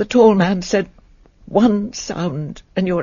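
Simply an unforced reading voice

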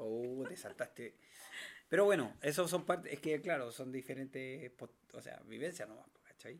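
Speaking at a fairly slow pace, a man uses a fairly high pitch with ordinary pitch variation and big swings in loudness. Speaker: podcast co-host. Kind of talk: casual chat.

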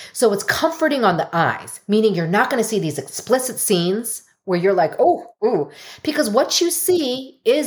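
A woman's fairly high, animated voice moves at a moderate pace, with very wide pitch swings. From US, Korean American. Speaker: mental health expert and leadership coach. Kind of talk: interview conversation.

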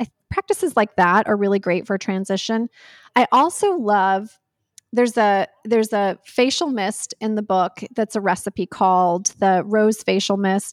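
In a dry, close sound with no echo and a very clean recording with a silent background, a plain, everyday voice with an American accent moves at a fairly slow pace with ordinary pitch variation. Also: woman, medium pitch for a woman. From North Carolina. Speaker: author and wellness creator. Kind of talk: interview conversation.

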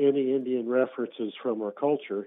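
This man has a normal speaking voice with an American accent and a medium pitch. His intonation is fairly even and his pace moderate. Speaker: radio caller. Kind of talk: casual call-in conversation. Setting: phone call.

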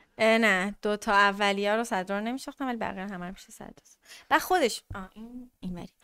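Speaking at a very fast pace, a woman with a medium pitch and a bright, sharp tone keeps her intonation fairly even while her loudness swings widely. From Iran, Tehran. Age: 20s. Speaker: podcast guest. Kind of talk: casual chat.

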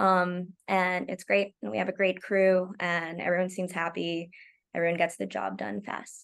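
A woman with an ordinary speaking voice speaks at a fairly low pitch with fairly even intonation. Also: moderate pace. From Oklahoma, US. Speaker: TV comedy writer. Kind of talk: casual interview chat. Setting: video call. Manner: laughs often.

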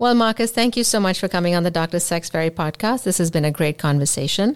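A woman's plain, everyday voice at fairly low pitch and a fairly quick pace, with lively intonation, in a very clean recording over a silent background. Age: 40s. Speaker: podcast host and physician. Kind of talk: interview podcast.

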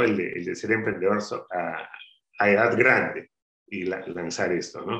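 The man's voice has a bright, sharp tone. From Peru, Áncash highlands (Caraz, Callejón de Huaylas). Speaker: spirits entrepreneur. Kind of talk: interview. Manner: halting, many fillers.

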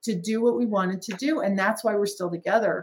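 A woman speaks in a somewhat breathy voice. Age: 60s. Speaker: franchise company president. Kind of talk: casual chat.

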